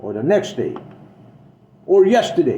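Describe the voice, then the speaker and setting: Audible room echo colors the recording. A man speaks in an animated tone. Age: old. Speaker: political vlogger, veteran. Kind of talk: political monologue. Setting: self-recorded video.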